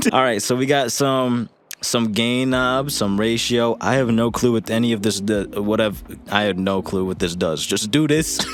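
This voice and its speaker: A man talks at a moderate pace with ordinary pitch variation and very even loudness over noticeable background noise. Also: medium pitch for a man. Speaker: music producer and rapper teaching vocal mixing. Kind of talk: tutorial. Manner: casual, filler-heavy.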